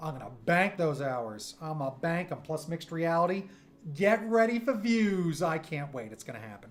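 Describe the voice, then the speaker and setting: Pitch swings very widely and loudness rises and falls sharply. The pace is moderate. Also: man, high pitch for a man. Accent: American. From New York. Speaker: streamer and cartoonist; streamer. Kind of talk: casual livestream chat. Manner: animated.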